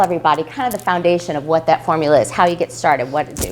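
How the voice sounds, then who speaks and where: Noticeable background noise surrounds the recording. A woman speaks in an animated tone. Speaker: business consultant giving a talk. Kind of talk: live presentation to an audience. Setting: room with live audience. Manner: fast.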